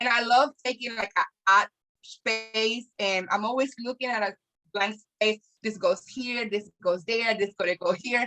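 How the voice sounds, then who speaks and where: A woman speaks with a Spanish accent at a fairly high pitch and a fairly even intonation. Her tone is bright and sharp, in a dry, close sound with no echo. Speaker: small business owner. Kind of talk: casual chat.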